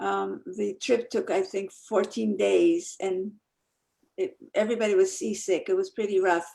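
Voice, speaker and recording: A woman with a Polish accent at a fairly slow pace. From Poland, Krakow area; moved to New Jersey at 11. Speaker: Holocaust survivor, speaker. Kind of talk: testimony.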